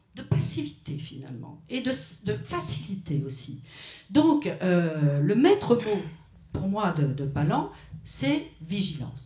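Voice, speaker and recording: A woman with a very deep, low pitch speaks at a very slow pace with lively intonation, big swings in loudness and long, frequent pauses, amid audible room echo and noticeable background noise. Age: 70s. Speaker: writer. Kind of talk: panel discussion at a memorial tribute. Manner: hesitant, with frequent restarts.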